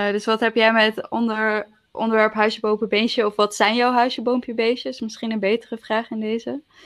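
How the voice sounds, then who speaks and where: Speaking at a fairly quick pace with hardly any pauses, a woman uses a fairly high pitch and a monotone, flat intonation. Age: 20s. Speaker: podcast co-host. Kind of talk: casual chat. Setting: remote recording from home.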